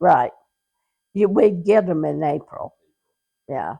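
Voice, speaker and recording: A woman's medium-pitched voice in an American accent, with a dark, mellow tone, vocal fry, a very slow pace and a dry, close sound with no echo. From Utah, rural (Hanksville area). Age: 80s+. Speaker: grandmother telling her life story. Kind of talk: oral history interview. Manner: halting, with self-corrections.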